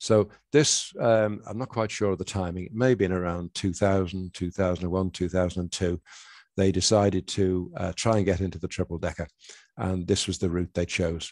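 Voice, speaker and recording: A man talks at a moderate pace with a very deep, low pitch and fairly even intonation. The sound is dry with no echo, and the background is quiet. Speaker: presenter. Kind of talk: lecture.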